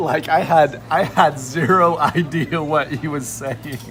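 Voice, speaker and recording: A man at a fairly high pitch, speaking very slowly, with music in the background. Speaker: Uber driver. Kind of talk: casual conversation over lunch.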